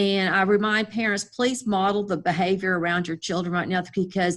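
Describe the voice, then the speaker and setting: A woman of medium pitch speaks with fairly even intonation in an ordinary speaking voice. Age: 60s. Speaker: school district director. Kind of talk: interview. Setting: video call.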